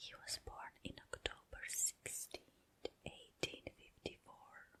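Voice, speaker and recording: The speaker whispers at a very slow pace. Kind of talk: casual ASMR intro to listener. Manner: whispered, soft-spoken.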